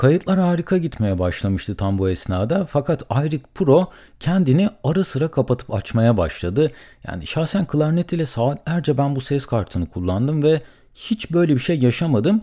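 A man's fairly high voice with a dark, mellow tone and very wide pitch swings moves at a moderate pace on a very clean recording with a silent background. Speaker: solo podcaster. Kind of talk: solo monologue about podcasting costs. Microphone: studio condenser mic with pop filter.

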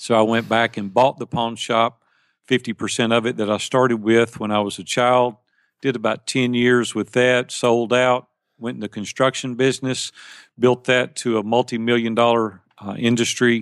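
A man with a Southern US accent speaks at a medium pitch and moderate pace in a monotone, flat intonation, with a quiet background and a dry, close sound free of echo. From US South, Tennessee (near Nashville). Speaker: life and business coach. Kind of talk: interview.

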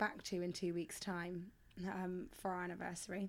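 A woman with a southern English accent, medium pitch, fairly quick pace. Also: very clean recording, silent background. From England. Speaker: podcast co-host, performer and personal trainer. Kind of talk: casual chat.

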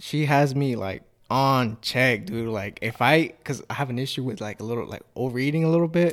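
An ordinary speaking voice from a man at medium pitch and moderate pace, with ordinary pitch variation and hardly any pauses. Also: very clean recording, silent background. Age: 20s. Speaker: podcast host. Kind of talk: casual interview chat.

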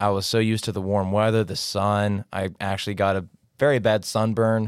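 A man's fairly low-pitched voice, clear and smooth in tone, with little pitch movement

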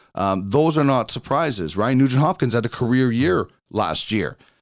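A man with a Canadian Prairies accent at a moderate pace, in a very clean recording with a silent background. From Brandon, Manitoba, Canada. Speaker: podcast host. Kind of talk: casual interview chat; podcast intro with sponsor read.

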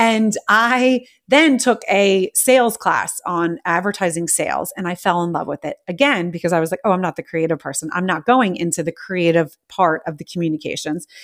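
In an American accent, a woman with an unremarkable speaking voice talks at a moderate pace and medium pitch, using lively intonation and hardly any pauses, with a dry, close sound and no echo. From United States. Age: 40s. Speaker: podcast host. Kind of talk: casual chat. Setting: live audio room. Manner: excitable.

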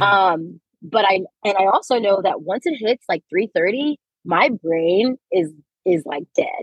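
Speaking in a Californian accent, a woman has a medium pitch and lively intonation. Her pace is fairly slow. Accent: Californian American. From Los Angeles, US. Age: 20s. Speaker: teacher and doctoral student. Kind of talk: interview. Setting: in a car in traffic.

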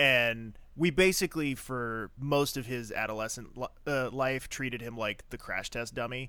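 At a moderate pace and medium pitch, a man uses a normal speaking voice with ordinary pitch variation. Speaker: podcast co-host. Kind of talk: casual chat.

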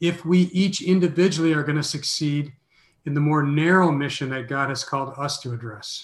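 Somewhat breathy, a man with an American accent talks at a fairly quick pace with fairly even intonation. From US Midwest (Minneapolis). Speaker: mission organization president and author. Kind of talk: interview.

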